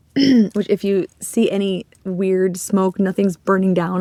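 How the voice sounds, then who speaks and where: A woman's medium-pitched voice, dark and mellow in tone, with a dry, close sound and no echo. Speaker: crochet vlogger. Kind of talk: casual chat. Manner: hesitant, many fillers.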